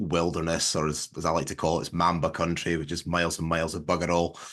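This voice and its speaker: Against a quiet background, a man with a Scottish accent talks in a bright, sharp tone. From southwest Scotland. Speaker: farmer and agricultural marketer. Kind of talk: casual interview on a video call. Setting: video call.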